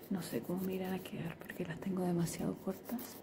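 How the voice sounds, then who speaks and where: Noticeable background noise sits behind a soft-spoken woman with a gentle tone. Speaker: ASMR creator. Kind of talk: ASMR soft-spoken nail painting. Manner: slow, gentle.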